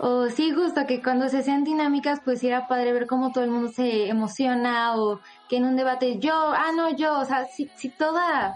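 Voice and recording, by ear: A woman's high-pitched voice with fairly even intonation and few pauses. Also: moderate pace.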